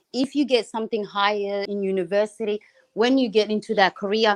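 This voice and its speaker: With an Australian accent, the speaker talks at a fairly quick pace in fairly even intonation, the sound dry and close with no echo. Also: woman. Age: 30s. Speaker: caller on a livestream. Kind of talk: casual chat.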